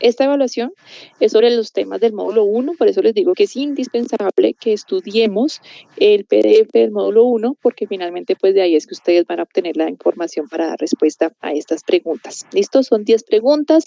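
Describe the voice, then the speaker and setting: A woman's fairly high voice with very wide pitch swings at a fairly quick pace. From Colombia, Popayán. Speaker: university lecturer. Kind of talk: online video lecture. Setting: recorded video class. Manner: fast.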